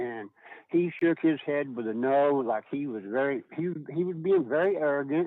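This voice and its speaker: A man's fairly high-pitched voice with ordinary pitch variation, an unremarkable speaking voice. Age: 60s. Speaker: caller. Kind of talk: public comment. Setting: phone call.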